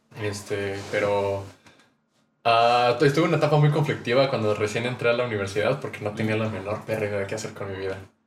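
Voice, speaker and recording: A man with a Mexican accent, fairly low in pitch, somewhat breathy, fairly quick, with ordinary pitch variation and audible room echo. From Mexico. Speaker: musician and audio engineering student. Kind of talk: casual chat.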